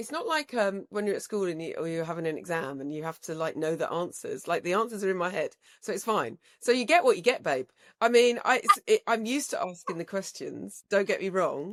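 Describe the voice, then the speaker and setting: A woman speaks in an animated tone at a medium pitch, fairly quickly, with very wide swings in pitch. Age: 60s. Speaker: podcast host and broadcaster. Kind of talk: interview conversation.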